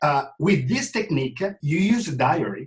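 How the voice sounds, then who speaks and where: Very wide pitch swings run through the somewhat breathy voice of a man. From Italy. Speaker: fitness trainer. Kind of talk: interview. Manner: halting.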